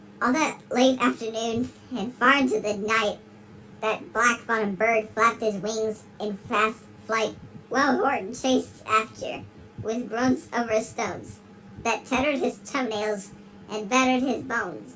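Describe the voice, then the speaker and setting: A woman's fairly high-pitched voice with fairly even intonation at a moderate pace, over clear background noise. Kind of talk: dramatic children's story reading. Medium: read story. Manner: dramatic reading, interrupted by puzzled asides.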